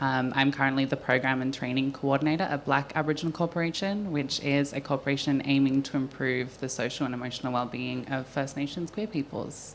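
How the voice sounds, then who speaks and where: A woman at a very deep, low pitch, very fast pace with hardly any pauses and fairly even intonation, plus noticeable background noise. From Western Australia, Perth. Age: 20s. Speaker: panellist, community program coordinator. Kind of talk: panel introduction. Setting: stage with microphone.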